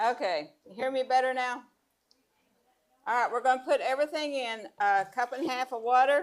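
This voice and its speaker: Loud and high-pitched, a woman speaks at a moderate pace with ordinary pitch variation and long, frequent pauses. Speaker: cooking class instructor. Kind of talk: cooking demonstration.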